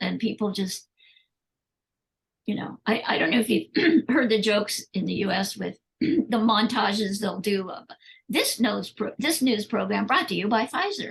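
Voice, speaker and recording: Her voice sits at a fairly high pitch with vocal fry, ordinary pitch variation and a moderate pace as this woman speaks. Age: 70s. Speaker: animal rights activist. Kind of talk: interview conversation. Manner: animated.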